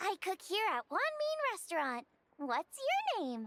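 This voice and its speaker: An extremely high-pitched, put-on character voice from a woman, bubbly and energetic, with very wide pitch swings, a fairly slow pace and a dry, close sound with no echo. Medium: video game. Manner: bubbly, energetic.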